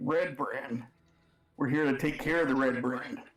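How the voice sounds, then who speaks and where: It's a put-on character voice, raspy and at a moderate pace. Intonation stays fairly even, and loudness is very even. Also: man, fairly high pitch for a man. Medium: actual play. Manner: guarded, dry.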